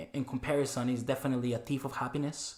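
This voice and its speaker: The delivery is very fast. The intonation remains fairly even. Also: man. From Mexico, Chihuahua. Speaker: cleaning business owner. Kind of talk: podcast interview. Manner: halting, many fillers.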